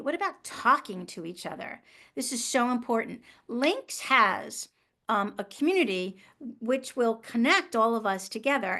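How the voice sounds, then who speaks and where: Over a quiet background, a woman with an unremarkable speaking voice talks at a moderate pace and a fairly high pitch, her intonation lively. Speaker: professional association president and educator. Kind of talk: webinar presentation.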